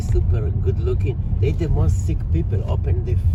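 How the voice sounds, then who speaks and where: A man's very deep, low voice at a fairly quick pace, with audible room echo and noticeable background noise. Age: 60s. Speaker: street vlogger. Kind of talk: casual chat.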